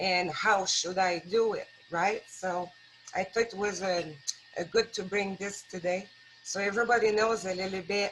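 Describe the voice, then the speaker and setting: A woman talks at a fairly slow pace with a French-Canadian accent. Her pitch is medium and her intonation fairly even. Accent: foreign accent (French-Canadian). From rural Quebec, Canada. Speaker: wildlife rehabilitator, guest speaker. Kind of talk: talk at a worship service. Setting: live-streamed church service. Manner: hesitant, many fillers.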